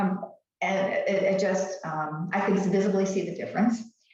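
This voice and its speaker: A woman talks at a moderate pace. Room echo is audible around her. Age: 70s. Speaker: skincare video guest, host's mother. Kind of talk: casual chat. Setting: live stream. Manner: halting, many fillers and restarts.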